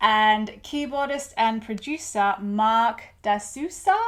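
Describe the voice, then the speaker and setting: The speaker has an Australian accent and ordinary pitch variation, heard on a very clean recording with a silent background. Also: woman. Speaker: music reviewer YouTuber. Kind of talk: casual video review.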